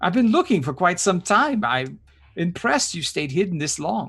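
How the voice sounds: Using a put-on character voice, a man speaks at a moderate pace with a high pitch, big pitch swings, a fairly bright tone, and a slightly husky edge.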